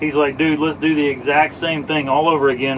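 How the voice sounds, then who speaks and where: With an American accent, a man speaks at a fairly high pitch. His pace is moderate, and there is noticeable background noise. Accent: Southern, slight, stronger when drinking. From US South. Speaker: automotive live streamer. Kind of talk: casual live stream chat. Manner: casual.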